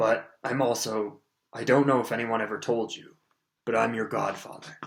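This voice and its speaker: A man puts on a croaky character voice at a medium pitch, speaking at a moderate pace in a flat monotone while his loudness swings widely. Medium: read story. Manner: halting, stammering.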